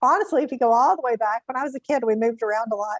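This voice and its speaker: A woman with a Mississippi accent speaks at a fairly high pitch. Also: dry, close sound with no echo. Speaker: counselor. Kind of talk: interview.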